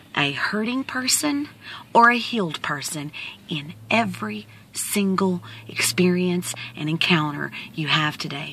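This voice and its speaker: The sound is dry, with no echo. A woman speaks at a fairly slow pace. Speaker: vlogger. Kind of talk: motivational casual vlog talk. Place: car. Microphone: phone near.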